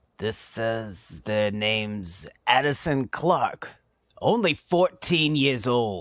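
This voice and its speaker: Using a put-on character voice at a medium pitch, a man speaks at a very slow pace on a very clean recording with a silent background. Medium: audio drama. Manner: casual.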